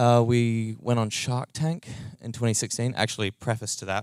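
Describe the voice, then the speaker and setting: Speaking at a moderate pace with a New Zealand accent, a man's medium-pitched voice sounds dry and close with no echo. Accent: New Zealand, noticeable. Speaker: startup co-founder and tech lead. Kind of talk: conference talk. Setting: meetup stage with audience. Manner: casual, many fillers.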